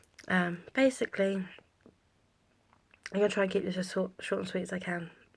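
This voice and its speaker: A woman speaks at a fairly quick pace, medium in pitch and somewhat breathy. Her intonation is fairly even, broken by long, frequent pauses. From Somerset, England. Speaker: mother and vlogger. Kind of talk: casual talk to camera.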